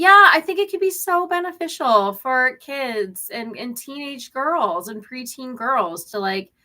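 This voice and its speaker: This woman's high voice is raised and projected, with a bright, sharp tone. Her pitch swings very widely and her loudness rises and falls a lot. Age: 30s. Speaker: crochet livestreamer and small business owner. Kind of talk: casual live-stream chat reading viewer comments. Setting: live stream. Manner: chatty, rambling with filler words.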